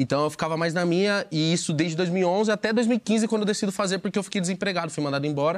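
A high-pitched man at a very fast pace, hardly any pauses, very even loudness and ordinary pitch variation, against a quiet background. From Osasco, São Paulo, Brazil; São Paulo, Brazil. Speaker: podcaster. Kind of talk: casual interview chat. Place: studio.

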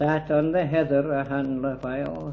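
With a Scottish accent, a man speaks at a medium pitch against light background noise. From Scotland. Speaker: poet. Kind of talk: poetry reading. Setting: home recording at a private party. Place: home room.

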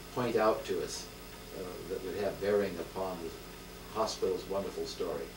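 A man at a fairly quick pace against noticeable background noise. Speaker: interviewer. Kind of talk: polite oral history interview. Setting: home interview. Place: home room. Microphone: old recording.

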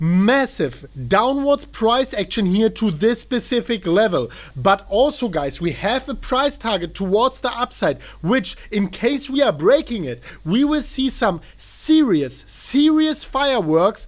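A man at a fairly slow pace with very wide pitch swings. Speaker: channel host. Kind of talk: hyped intro commentary. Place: home room.

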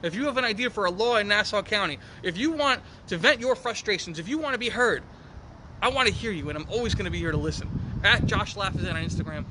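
Over noticeable background noise, a man with an American accent talks very fast in a raised, projected voice pitched high for a man. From New York. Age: 20s. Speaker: county legislator. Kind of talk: interview. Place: garden.

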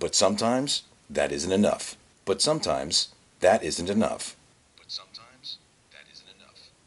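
Against light background noise, a man speaks with long, frequent pauses and big swings in loudness. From United States. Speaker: voice actor. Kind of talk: corporate narration. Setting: studio. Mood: warm, reassuring narration. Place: studio. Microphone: studio mic.

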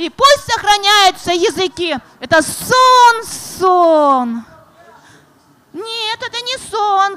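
Her voice raised and projected, a woman speaks at a very slow pace with an extremely high pitch, very wide pitch swings and big swings in loudness. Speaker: poet and writer. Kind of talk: reading poetry and talk at a literary presentation. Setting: stage, festival panel. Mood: solemn, declamatory recitation. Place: stage. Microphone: handheld.

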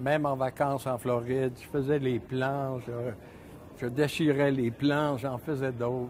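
Very slow, monotone delivery from a man at medium pitch, with flat intonation and light background noise. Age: 70s. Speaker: ski shop owner. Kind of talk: interview. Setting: studio. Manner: halting. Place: shop.

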